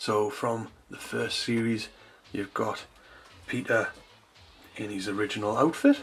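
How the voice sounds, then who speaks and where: Here a man speaks in a Geordie accent. His pace is moderate. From North East England. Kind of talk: toy review to camera.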